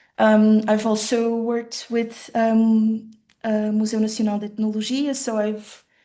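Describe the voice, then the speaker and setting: With audible room echo, a woman with a fairly high pitch speaks at a fairly slow pace in a monotone, flat intonation. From western rural Portugal, Portuguese-German family. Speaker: designer giving keynote talk. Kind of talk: conference presentation. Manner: halting, many fillers.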